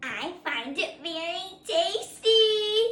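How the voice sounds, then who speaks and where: In a put-on character voice, a woman squeaks at an extremely high pitch with lively intonation. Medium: read story. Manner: sly, gloating.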